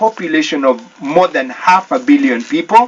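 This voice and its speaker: Noticeable background noise runs under the speech. The speaker talks at a moderate pace with a Kenyan accent. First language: Kikuyu. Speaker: church deacon. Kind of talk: radio interview.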